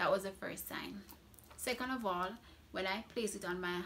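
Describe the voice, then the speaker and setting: A woman speaks in a Jamaican accent at a medium pitch. Her pitch varies in an ordinary way. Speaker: beauty vlogger. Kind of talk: product review. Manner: casual, chatty.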